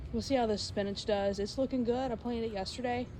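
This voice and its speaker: A woman's voice carries audible room echo. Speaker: home cooking vlogger. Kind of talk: casual vlog talk. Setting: outdoors in garden. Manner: halting; quiet.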